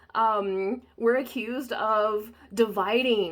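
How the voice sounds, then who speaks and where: A woman's medium-pitched voice with an American accent. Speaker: body-positive photographer. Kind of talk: casual talk to camera.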